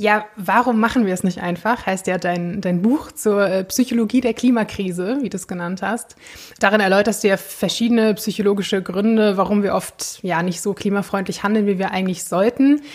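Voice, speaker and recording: This woman has a plain, everyday voice at medium pitch. She keeps fairly even intonation and a moderate pace. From Germany. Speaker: podcast co-host. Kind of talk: casual chat.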